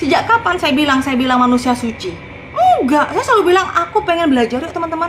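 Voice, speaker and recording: Over noticeable background noise, a woman with a strong Madurese accent talks very fast in an animated tone, her pitch swinging very widely. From Madura, Sampang. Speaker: evangelist preacher. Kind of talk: casual livestream talk. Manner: forceful.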